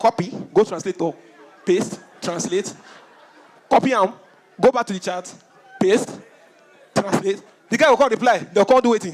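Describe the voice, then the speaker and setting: Against crowd noise in the background, the speaker goes at a moderate pace with ordinary pitch variation and long, frequent pauses. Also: man, high pitch for a man. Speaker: stand-up comedian. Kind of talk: stand-up comedy set to a live audience. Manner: energetic, jokey, conversational.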